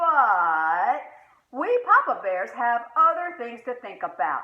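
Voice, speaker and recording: A woman puts on a gruff character voice, pitched high with very wide swings. She delivers it at a fairly slow pace. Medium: read story. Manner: gruff, grumbling.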